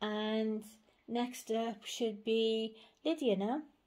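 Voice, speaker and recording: A woman's dark, mellow voice in a British accent. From England. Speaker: doll collector vlogger. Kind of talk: casual chat. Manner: hesitant, filler-heavy. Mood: warm, doting. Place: home room. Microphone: phone near.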